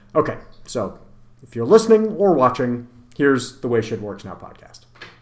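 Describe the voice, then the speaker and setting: Over noticeable background noise, a man with an American accent talks at a moderate pace with lively intonation. His loudness swings widely. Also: medium pitch for a man. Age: 40s. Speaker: podcast host and author. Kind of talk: podcast intro monologue. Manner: casual, joking.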